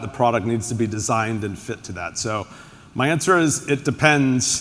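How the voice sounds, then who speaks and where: With an unremarkable speaking voice, a man talks at a moderate pace at a medium pitch with ordinary variation. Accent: American. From United States. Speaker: tech executive, panelist. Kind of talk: panel discussion.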